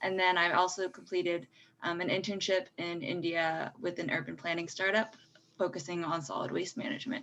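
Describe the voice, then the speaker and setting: In a normal speaking voice, a woman talks fairly quickly with a fairly low pitch and ordinary pitch variation. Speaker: engineering student, panelist. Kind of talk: panel discussion.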